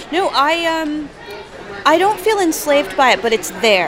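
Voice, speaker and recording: A woman with an American accent and lively intonation, crowd noise in the background. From New Jersey. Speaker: comedian and writer. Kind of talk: interview. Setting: studio.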